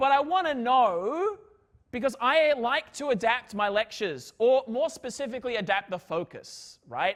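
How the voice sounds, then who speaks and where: Loud and animated, a man talks at an extremely high pitch with lively intonation. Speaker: physics lecturer. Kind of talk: lecture. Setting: lecture hall with students.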